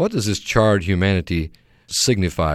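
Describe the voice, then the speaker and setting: A man speaks in a plain, everyday voice with ordinary pitch variation and a moderate pace, captured on a very clean recording with a silent background. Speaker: Bible teacher. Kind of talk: religious radio discussion.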